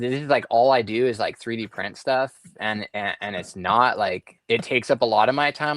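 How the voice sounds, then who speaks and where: Dry and close with no echo, in a very clean recording with a silent background, a man with a Southern California accent speaks at a fairly quick pace, medium pitch, and ordinary pitch variation. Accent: skater-style Southern California speech. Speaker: treasure hunt puzzle box maker. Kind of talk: casual chat. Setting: live stream.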